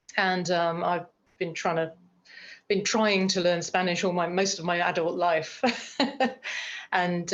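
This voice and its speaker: A woman with a British accent speaks at a fairly slow pace in a fairly low pitch. Her intonation stays flat and monotone. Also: quiet background. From United Kingdom. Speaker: screenwriter and producer. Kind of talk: interview chat.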